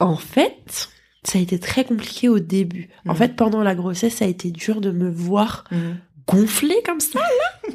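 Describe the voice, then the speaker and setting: A woman's animated, medium-pitched voice with lively intonation at a fairly slow pace. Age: 20s. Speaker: model school founder, former model. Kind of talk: casual chat.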